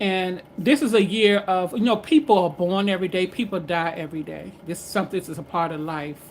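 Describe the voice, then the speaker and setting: A woman with a fairly low voice speaks at a moderate pace with ordinary pitch variation. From Washington DC. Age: 60s. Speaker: livestreamer. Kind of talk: casual chat. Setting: livestream. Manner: halting.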